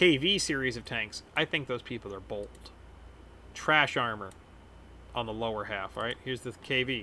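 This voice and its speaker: Speaking at a moderate pace with long, frequent pauses, a man with an American accent has a bright, sharp tone. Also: medium pitch for a man, ordinary pitch variation. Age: 30s. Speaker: gaming streamer. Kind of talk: casual gameplay commentary.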